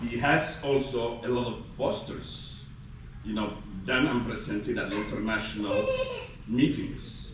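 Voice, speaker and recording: Amid noticeable background noise and audible room echo, a man with a medium-pitched voice speaks at a fairly slow pace. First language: Somali. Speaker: gastroenterology faculty physician. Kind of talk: ceremony speech. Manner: halting with many fillers.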